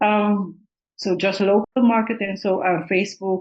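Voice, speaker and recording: A woman is speaking. She has a non-native accent. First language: not English. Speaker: aspiring Amazon seller. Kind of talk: coaching consultation. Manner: halting.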